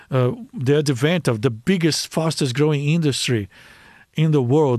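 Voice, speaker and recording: With a Brazilian accent, this man speaks at a fairly high pitch with ordinary pitch variation over a quiet background. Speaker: life coach.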